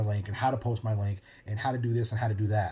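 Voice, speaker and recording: A man with a medium-pitched, somewhat breathy voice and a dark, mellow tone talks at a fairly quick pace in a flat monotone. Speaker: podcast host. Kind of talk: casual monologue. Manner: fast.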